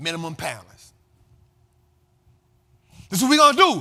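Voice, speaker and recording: Raised and projected, a man's bright, sharp voice carries a passionate tone at a moderate pace, with very wide pitch swings. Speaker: finance and investing commentator host. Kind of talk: casual talk to camera, motivational financial commentary. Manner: passionate, emphatic, conversational.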